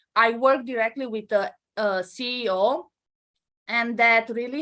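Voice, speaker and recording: Speaking very slowly with a Romanian accent, this woman has a fairly high pitch and ordinary pitch variation. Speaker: entrepreneur. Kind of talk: interview. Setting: live stream.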